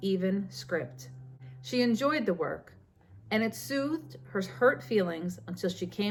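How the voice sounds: The clip is simply a natural reading voice.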